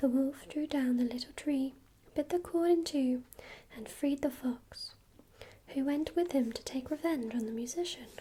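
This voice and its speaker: The voice is soft-spoken with a calm tone. It keeps a moderate pace. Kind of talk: ASMR book reading of a fairy tale, bedtime story. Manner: soft-spoken, calm, relaxing.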